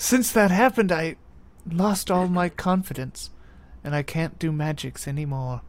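Here is a put-on character voice at a middle pitch. The pace is moderate. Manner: fancy, theatrical, genteel.

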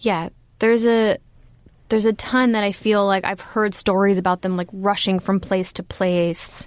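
A woman with a Californian accent, fairly even intonation and a moderate pace, on a very clean recording with a silent background. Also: medium pitch for a woman. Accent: General American (California). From Los Angeles, US. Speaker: comedian and comedy writer. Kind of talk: casual interview chat. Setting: studio booth.

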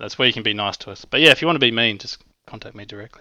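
Captured in a very clean recording with a silent background, a man with an Australian accent speaks in a bright, sharp tone. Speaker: app developer. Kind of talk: podcast interview.

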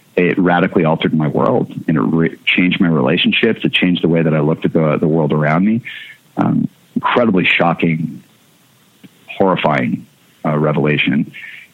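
Amid noticeable background noise, a man talks at a fairly quick pace in a very deep, low pitch. His loudness stays very even, with ordinary pitch variation. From Canada. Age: 40s. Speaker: hardcore musician and record label owner. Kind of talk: interview conversation.

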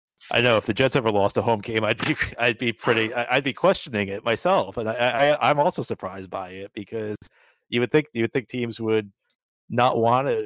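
An unremarkable speaking voice, a man with an American accent at medium pitch and a fairly quick pace, ordinary pitch variation, dry and close with no echo on a very clean recording with a silent background. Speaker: podcast host. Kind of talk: casual interview chat.

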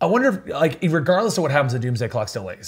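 Recorded very cleanly against a silent background, a man speaks with very wide pitch swings and a somewhat breathy sound. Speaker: podcast host. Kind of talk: casual chat. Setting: studio.

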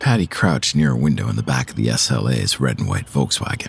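There is noticeable background noise behind this man. He speaks at a moderate pace with a very deep, low pitch. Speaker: podcast host and narrator. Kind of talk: dramatic narration of a true-crime story, scripted and tense. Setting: studio. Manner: gripping, suspenseful, punchy, cinematic.

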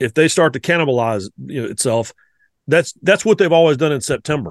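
In a North Carolina accent, a man speaks at a moderate pace with a fairly high pitch and lively intonation. The sound is dry and close with no echo and a quiet background. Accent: Southern US (North Carolina). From US South, the Carolinas. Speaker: college football writer. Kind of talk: casual chat.

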